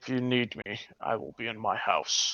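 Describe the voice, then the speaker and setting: A man puts on a character voice, raspy in tone, and keeps to a moderate pace. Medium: actual play. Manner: gruff, authoritative.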